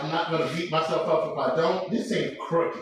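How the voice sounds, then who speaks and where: Audible room echo surrounds a man speaking at a moderate pace in a high pitch. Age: 40s. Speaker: strongman and powerlifter vlogger. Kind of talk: casual live-stream monologue. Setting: home gym. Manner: stutter.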